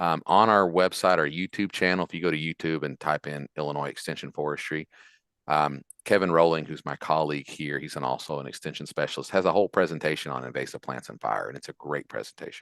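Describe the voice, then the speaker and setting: A man with a West Virginia accent speaks at a very fast pace in a very deep, low pitch with vocal fry and big swings in loudness. The sound is dry and close with no echo, against a quiet background. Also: ordinary pitch variation. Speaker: forestry extension specialist. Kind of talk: Q&A after a lecture. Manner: casual, with fillers and repetitions.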